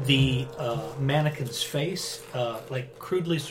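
The speaker reads in a natural voice, and the pitch varies in an ordinary way.

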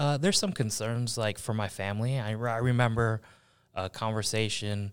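Over a very clean, silent background, a man with an American accent talks at a moderate pace. He has an ordinary speaking voice, fairly low in pitch. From Buffalo, New York. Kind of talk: interview.

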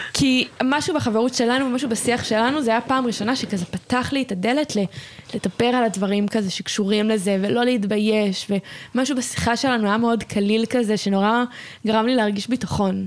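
The speech moves at a moderate pace with very even loudness, and noticeable background noise can be heard. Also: woman, fairly high pitch for a woman, fairly even intonation. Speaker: podcast host. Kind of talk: casual interview.

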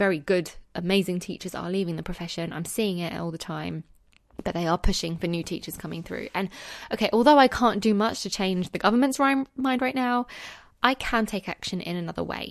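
Against a quiet background, a voice with a London accent and a warm, passionate tone moves at a fairly quick pace with ordinary pitch variation. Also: woman. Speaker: secondary school teacher and podcast host. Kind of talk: solo podcast monologue. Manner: warm, conversational, passionate.

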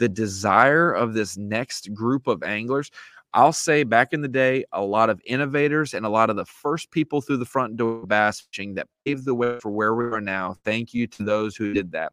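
A man's normal speaking voice, medium in pitch, at a moderate pace with hardly any pauses, in a very clean, dry, close recording with no echo and a silent background. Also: ordinary pitch variation. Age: 30s. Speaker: bass fishing media personality. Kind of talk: casual interview.

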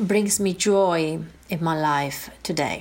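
In an Italian accent, a woman speaks at a very slow pace with fairly even intonation. The recording is very clean, with a silent background. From northern Italy (Piedmont). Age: 50s. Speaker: life coach and author. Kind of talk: improvised personal testimony. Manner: hesitant, many fillers.

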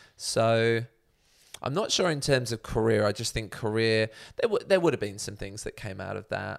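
A man with a southern English accent speaks at a moderate pace and medium pitch with ordinary pitch variation on a very clean recording with a silent background. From southern England, Buckinghamshire. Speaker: social enterprise founder and CEO. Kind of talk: casual interview.

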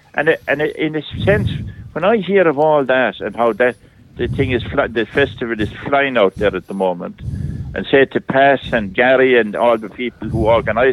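In an Irish accent, a man talks at a moderate pace with a medium pitch and ordinary pitch variation. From Ireland, County Clare. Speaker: priest. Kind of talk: casual chat. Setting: phone call.

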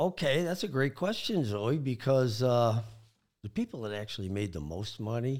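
Lively intonation in a US Midwestern accent, on a very clean recording with a silent background. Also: man. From Michigan. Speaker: wealth advisor. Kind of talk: casual interview.

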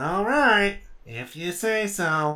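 A put-on character voice at a middle pitch. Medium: actual play. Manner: deadpan, sarcastic.

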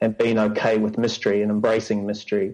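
A man of medium pitch talks with a New Zealand accent. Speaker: church staff member. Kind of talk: casual interview chat.

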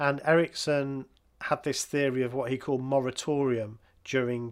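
On a very clean recording with a silent background, a man speaks with an English accent in a monotone, flat intonation. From England. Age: 50s. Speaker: podcast host. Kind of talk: casual chat.

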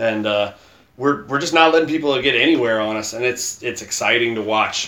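This is an ordinary speaking voice from a man at medium pitch. He shows ordinary pitch variation. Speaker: podcast host. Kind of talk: casual chat. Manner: joking, playful.

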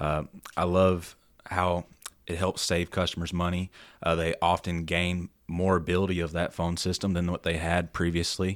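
Someone with a Tennessee accent speaks at a moderate pace in a monotone, flat intonation on a very clean recording with a silent background. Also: man, very deep, low pitch for a man. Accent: Southern US (Tennessee). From Middle Tennessee (Lebanon). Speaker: salesperson. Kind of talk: casual chat. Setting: studio.

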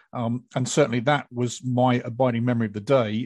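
At a very fast pace, a man with a British accent speaks in a monotone, flat intonation at medium pitch over a quiet background. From Britain. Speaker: EMS podcast host, former military. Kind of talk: panel discussion.

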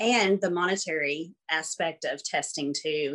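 The speaker has a Southern US accent. The intonation is fairly even. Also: woman. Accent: Southern American. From US South, Arkansas. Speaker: school administrator and former teacher. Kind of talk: interview.

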